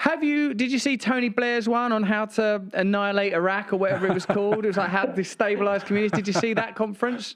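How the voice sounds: A man talks fast and high-pitched with few pauses. His tone is fairly bright and his intonation fairly even.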